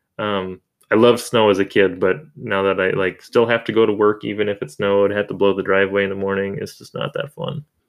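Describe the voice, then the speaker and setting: A man speaks with an American accent in a normal speaking voice. His pitch is fairly low and his pace fairly quick. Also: ordinary pitch variation. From Minnesota, US. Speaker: podcast host. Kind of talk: podcast recap conversation.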